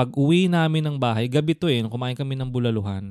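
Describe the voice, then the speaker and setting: A man's medium-pitched, a plain, everyday voice with ordinary pitch variation, in a dry, close sound with no echo. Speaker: podcast co-host. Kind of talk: casual chat; scripted intro.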